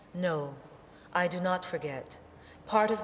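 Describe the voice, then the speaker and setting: A woman at a medium pitch, fairly slow in pace, with noticeable background noise. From New Orleans. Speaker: poet. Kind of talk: poetry reading.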